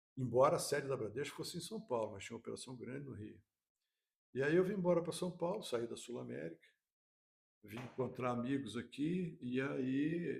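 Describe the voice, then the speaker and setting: Speaking at a moderate pace, a man with a medium-pitched voice and vocal fry uses lively intonation and big swings in loudness. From Rio de Janeiro, Brazil. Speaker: insurance executive. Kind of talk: podcast interview.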